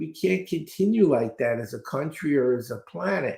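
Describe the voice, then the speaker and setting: Somewhat breathy and fairly high in pitch, a man with an American accent moves at a fairly slow pace through very wide pitch swings. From New York City (Brooklyn). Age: 70s. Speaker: speed reading trainer. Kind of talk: interview.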